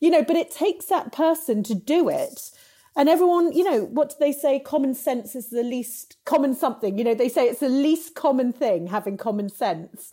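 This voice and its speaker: A woman with an English accent, high in pitch and dark, mellow in tone, with lively intonation at a moderate pace. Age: 40s. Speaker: entrepreneur. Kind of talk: interview.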